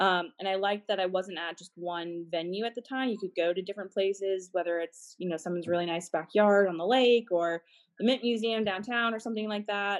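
A woman's unremarkable speaking voice with an American accent, medium in pitch, fairly even in intonation, at a fairly quick pace with hardly any pauses. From Massachusetts and North Carolina. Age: 20s. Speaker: private events manager. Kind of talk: interview. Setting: video call.

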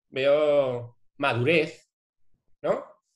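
Somewhat breathy, the man's voice sits fairly high in pitch. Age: 40s. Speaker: advertising strategist, agency founder. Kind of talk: casual interview conversation.

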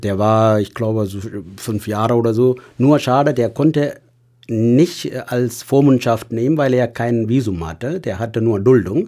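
A man with a Tamil accent speaks at a medium pitch in a dark, mellow tone with ordinary pitch variation, on a very clean recording with a silent background. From Sri Lanka, Tamil. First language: Tamil (speaking German). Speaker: hospital patient companion. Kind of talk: casual interview.

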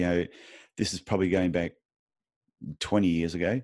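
A man with an Australian accent at a very fast pace. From Australia, Queensland. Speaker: podiatrist and podcast host. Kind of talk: interview. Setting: remote call.

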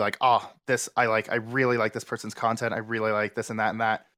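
Bright, sharp male speech pitched at a medium level. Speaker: streamer guest. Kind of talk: casual chat. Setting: video call. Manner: flat, not showing excitement in voice.

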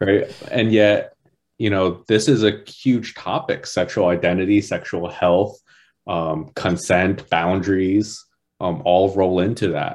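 A man's fairly low-pitched, plain, everyday voice with an American accent, ordinary pitch variation and a fairly slow pace against a quiet background. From New Jersey. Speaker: life coach. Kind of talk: casual chat.

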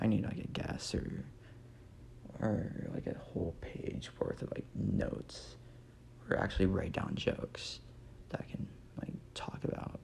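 Amid noticeable background noise, a man whispers with an American accent at a fairly slow pace, leaving long, frequent pauses. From Nebraska. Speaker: comedy podcaster. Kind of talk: casual comedic monologue. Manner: rambling with frequent fillers.

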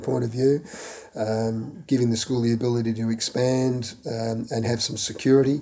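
Against noticeable background noise, a man with an Australian accent speaks with ordinary pitch variation. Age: 60s. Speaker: former student and school board member. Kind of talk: interview. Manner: halting with many fillers.

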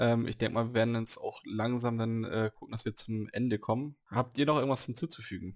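A man speaks at a fairly quick pace with hardly any pauses, in a plain, everyday voice at medium pitch and with fairly even intonation. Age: 30s. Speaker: podcast host, role-playing gamer. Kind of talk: casual chat.

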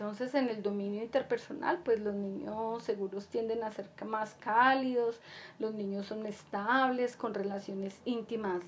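A woman speaks at a fairly slow pace with a fairly high pitch. Audible room echo surrounds her voice. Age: 50s. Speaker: podcast host, psychology educator. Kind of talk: casual monologue to listeners; solo podcast lecture on psychology. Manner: hesitant, many fillers.

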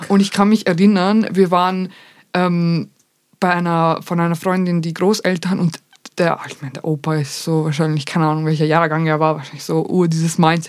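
A woman talks at a fairly quick pace in a normal speaking voice. Her pitch is fairly low and her intonation fairly even. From Vienna, Austria. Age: 20s. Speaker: content creator. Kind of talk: casual chat.

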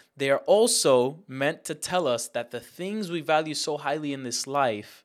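The recording is very clean, with a silent background. A man speaks at a moderate pace with lively intonation. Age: 20s. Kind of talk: teaching.

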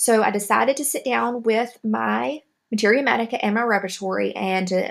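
A woman's medium-pitched voice with vocal fry and a Southern US accent, at a moderate pace with ordinary pitch variation. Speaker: homeopathy podcaster. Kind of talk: educational monologue podcast. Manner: friendly, explanatory.

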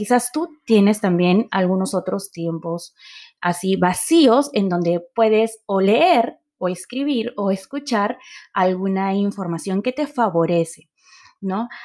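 Using a normal speaking voice, a woman talks at a fairly slow pace and a medium pitch with lively intonation. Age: 30s. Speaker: podcast host, marketer and entrepreneur. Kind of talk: solo podcast monologue.

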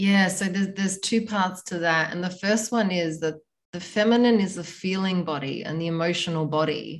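This woman has a plain, everyday voice pitched fairly low. Her intonation stays fairly even. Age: 40s. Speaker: tantra teacher. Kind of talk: interview.

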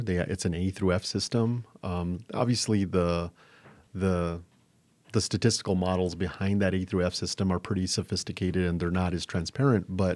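A man with an American accent, a very deep, low pitch, fairly even intonation and a moderate pace, on a very clean recording with a silent background. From New Mexico, US. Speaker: school superintendent. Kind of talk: interview. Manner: halting, many repeated words.

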